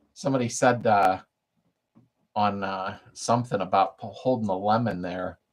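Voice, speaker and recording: A man's speech proceeds at a moderate pace, its pitch rising and falling in an ordinary way. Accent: American. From Pennsylvania, US. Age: 60s. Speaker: car restoration youtuber. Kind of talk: live stream chat reading comments. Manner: casual, chatty.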